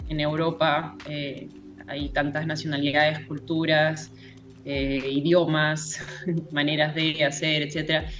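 Audible room echo surrounds a woman's very deep, low voice. She talks at a fairly slow pace. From Peru. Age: 30s. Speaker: circus teacher. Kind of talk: casual chat.

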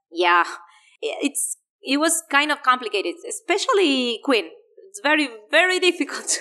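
With a Spanish accent, a woman speaks in a high, bright, sharp voice, her pitch swinging very widely and her loudness shifting a lot, broken by long, frequent pauses. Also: moderate pace. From Argentina. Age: 30s. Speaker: English teacher and language school director. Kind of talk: interview.

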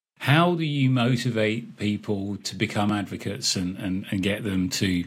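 An ordinary speaking voice at a moderate pace, its intonation lively. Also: man. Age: 40s. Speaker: podcast host. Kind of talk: interview.

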